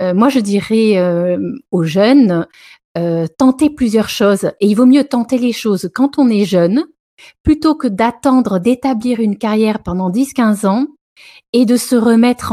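Dry and close with no echo, a woman speaks at a very slow pace. Her dark, mellow voice sits at a fairly high pitch with lively intonation. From southern France. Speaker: media entrepreneur. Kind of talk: interview. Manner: halting, many hesitations.

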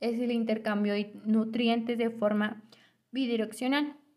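A woman with a central Mexican accent speaks at a fairly slow pace and a fairly high pitch. Her intonation stays monotone and flat. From Mexico, State of Mexico (Temascalcingo). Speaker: university student. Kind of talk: scripted student podcast presentation. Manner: formal.

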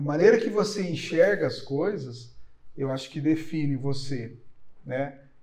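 Fairly high male voice with lively intonation at a fairly slow pace, plus audible room echo and noticeable background noise. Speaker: chemist, analytical services company head. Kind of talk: interview conversation. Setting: his company's premises, in person. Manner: halting.

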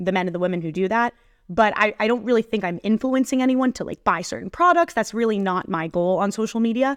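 With an ordinary speaking voice, a woman talks at a fairly quick pace in a fairly high pitch with lively intonation. The sound is dry and close with no echo against a quiet background. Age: 20s. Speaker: sports content creator. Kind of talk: interview.

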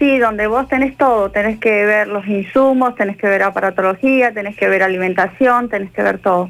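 A woman with a medium pitch talks at a moderate pace in a plain, everyday voice, with ordinary pitch variation and hardly any pauses. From Argentina, Bariloche. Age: 50s. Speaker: nurse. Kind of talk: radio interview.

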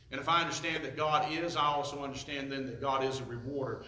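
A man with a warm tone and fairly high pitch speaks at a very fast pace over noticeable background noise. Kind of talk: sermon. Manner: emphatic, pushes points with rhetorical questions and repetition.

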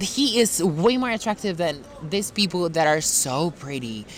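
There is noticeable background noise. Over it, a man speaks with a fairly high pitch. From Spain. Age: 20s. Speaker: podcast guest. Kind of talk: casual chat. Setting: outdoors in a park.

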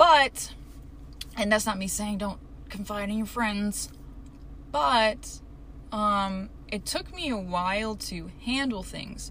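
Over noticeable background noise, a woman of medium pitch speaks at a very slow pace with ordinary pitch variation and long, frequent pauses. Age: 20s. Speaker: solo podcaster. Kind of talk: casual solo monologue.

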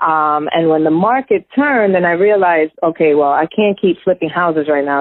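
A woman with an American accent and fairly low pitch, a normal speaking voice, ordinary pitch variation and a moderate pace. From New York. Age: 40s. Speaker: real estate agent. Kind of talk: casual interview chat.

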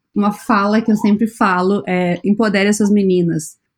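A woman with a medium pitch speaks at a fairly slow pace in a monotone, flat intonation. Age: 30s. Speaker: podcast host. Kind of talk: interview conversation.

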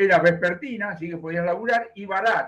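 A man speaks with a Rioplatense accent. His pace is fairly quick. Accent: Argentine Rioplatense Spanish. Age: 70s. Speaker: economist. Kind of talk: interview. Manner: animated.

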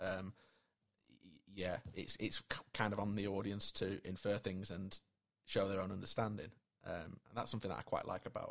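A man's fairly low voice at a moderate pace, monotone and flat in intonation. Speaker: podcast host. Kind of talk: interview.

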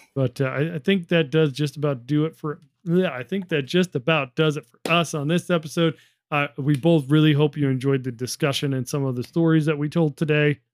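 Delivered in a normal speaking voice at a fairly quick pace, the intonation stays fairly even. The sound is dry and close, with no echo. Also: man, fairly high pitch for a man. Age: 30s. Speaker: podcast co-host, military veteran. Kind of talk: casual chat.

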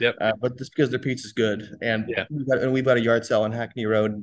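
With an American accent, a man talks at a very fast pace and a medium pitch. His intonation is fairly even, and the background is quiet. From US and Switzerland. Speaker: brewery co-founder and brewer. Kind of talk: podcast interview. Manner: hesitant, with frequent fillers and restarts.

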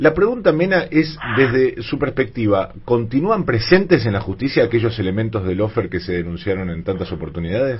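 This man talks at a fairly quick pace with hardly any pauses, his pitch swinging very widely. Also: medium pitch for a man. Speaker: radio host. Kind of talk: radio talk show.

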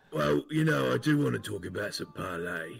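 A raspy, put-on character voice with very wide pitch swings at a moderate pace. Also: man, very deep, low pitch for a man.

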